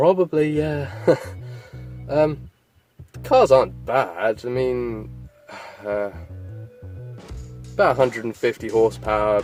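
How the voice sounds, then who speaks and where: Speech comes at a very slow pace with long, frequent pauses while music plays in the background. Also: man. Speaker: car enthusiast. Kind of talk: casual talk to camera.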